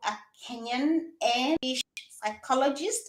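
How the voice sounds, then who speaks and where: A woman's high, bright, sharp voice, animated, raised and projected. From Kenya. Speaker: psychologist. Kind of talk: interview.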